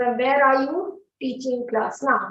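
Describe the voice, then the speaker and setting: In a Telugu accent, a woman with a high pitch speaks at a fairly slow pace. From South India, Andhra Pradesh. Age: 50s. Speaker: English teacher. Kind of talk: online class Q&A. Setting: studio.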